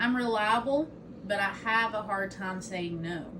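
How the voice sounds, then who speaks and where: Audible room echo surrounds a woman's fairly high voice. She speaks at a fairly slow pace. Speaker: student giving a class speech. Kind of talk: informative speech. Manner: loud.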